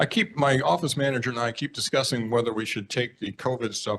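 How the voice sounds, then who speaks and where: Fairly even intonation marks this fairly quick delivery. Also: man. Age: 60s. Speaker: state senator. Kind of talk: report to a neighborhood board meeting. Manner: halting, many fillers.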